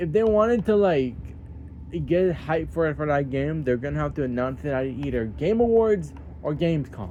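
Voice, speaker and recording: A man's voice moves through very wide pitch swings. Audible room echo surrounds it. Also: fairly high pitch for a man, moderate pace. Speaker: gaming YouTuber. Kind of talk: casual vlog talk.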